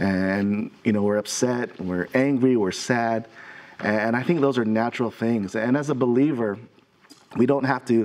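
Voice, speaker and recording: Speaking at a moderate pace, a man delivers his words. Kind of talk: devotional encouragement talk. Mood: warm, consoling. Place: studio. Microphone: lapel.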